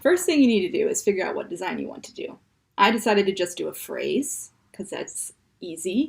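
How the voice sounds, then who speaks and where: A woman speaks with a Midwestern accent and a playful tone. Her pace is moderate. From US Midwest. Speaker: comedy show host. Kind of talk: tutorial.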